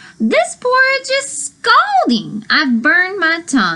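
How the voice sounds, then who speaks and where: A woman puts on a squeaky character voice with extremely high pitch and very wide pitch swings. She goes at a fairly slow pace. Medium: read story.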